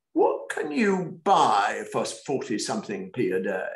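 Audible room echo around a man's speech. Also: quiet background. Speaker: author. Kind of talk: online panel talk. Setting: video call. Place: home room. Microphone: webcam.

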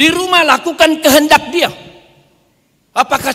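A man's raised, projected voice in an animated tone, moderate in pace, over a quiet background. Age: 60s. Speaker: pastor. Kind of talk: sermon. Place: church. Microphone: podium.

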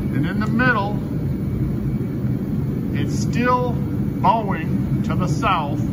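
A man against loud background noise. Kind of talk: casual vlog chat. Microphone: phone near.

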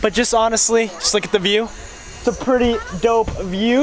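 The sound is dry with no echo, and faint music plays in the background. A man speaks at a moderate pace. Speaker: travel vlogger. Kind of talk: casual vlog chat. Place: waterside. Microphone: phone near.

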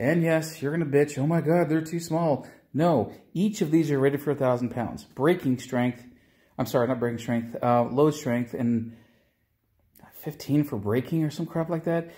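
A man speaks at a moderate pace in a dark, mellow tone that is somewhat breathy. His pitch varies ordinarily, with a quiet background. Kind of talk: casual vlog chat. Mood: relaxed, joking. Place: garage. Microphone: phone near.

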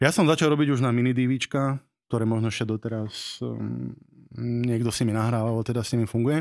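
Against a quiet background, a man at a medium pitch speaks very fast with fairly even intonation. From Slovakia, Nové Zámky; Slovakia. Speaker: wedding videographer and teacher; teacher. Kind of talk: casual chat. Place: studio. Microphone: studio mic.

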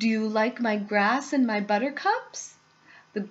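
The pitch shifts in an ordinary way. The delivery is an unforced reading voice.

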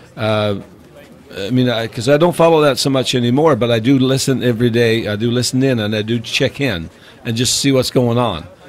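A man with a Newfoundland accent at medium pitch, fairly quick pace and ordinary pitch variation, over noticeable background noise. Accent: Newfoundland Canadian English. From Newfoundland, Canada. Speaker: podcast guest. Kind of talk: casual chat. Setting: studio.

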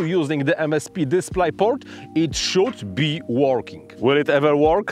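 A man is speaking. The sound is dry with no echo, and faint music plays in the background. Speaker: tech video creator. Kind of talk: explainer vlog talk. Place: open country. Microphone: lapel.

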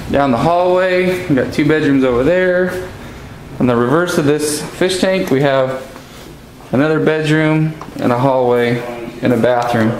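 Through light background noise and audible room echo, a man speaks with ordinary pitch variation and long, frequent pauses. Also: moderate pace, very even loudness. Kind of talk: walkthrough commentary. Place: home room. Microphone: phone near.

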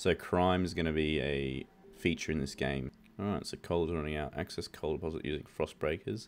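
Very deep and low, this man's voice carries vocal fry and ordinary pitch variation at a fairly quick pace. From Australia. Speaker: gaming YouTuber. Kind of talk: gameplay commentary.

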